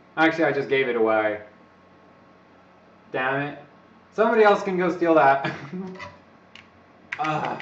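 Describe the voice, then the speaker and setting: With noticeable background noise and audible room echo, a man speaks at a fairly high pitch. His intonation is lively, broken by long, frequent pauses. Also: moderate pace. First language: not English. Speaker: overclocking live streamer. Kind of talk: live stream chat with tutorial. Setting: live stream. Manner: casual, rambling.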